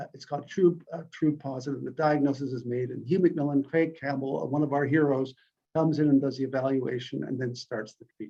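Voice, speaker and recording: Speaking at a fairly quick pace, a man with a fairly high pitch and a dark, mellow tone shows big swings in loudness. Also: fairly even intonation. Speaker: medical researcher and clinician. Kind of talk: conference presentation. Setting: conference talk. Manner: fast; halting, many fillers.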